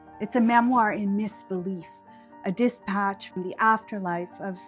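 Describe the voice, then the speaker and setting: The speaker has a nervous tone and talks at a moderate pace. Music plays in the background. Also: woman. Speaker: memoir writer. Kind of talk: personal memoir talk to camera. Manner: nervous, hesitant.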